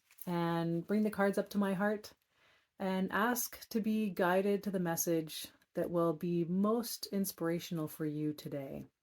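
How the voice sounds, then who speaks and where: The recording is very clean, with a silent background. A woman with a plain, everyday voice speaks at a fairly low pitch with fairly even intonation. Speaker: author and wisdom card reader. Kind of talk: guided meditation and card reading; inspirational talk. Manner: slow, calm and soothing.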